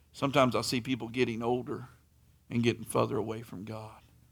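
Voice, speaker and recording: A man speaks at a medium pitch with vocal fry. The recording is very clean, with a silent background. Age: 40s. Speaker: preacher. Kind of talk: sermon. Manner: animated.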